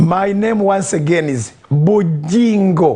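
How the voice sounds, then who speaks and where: A man talks in a high pitch. His pitch varies in an ordinary way. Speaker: pastor. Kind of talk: online interview.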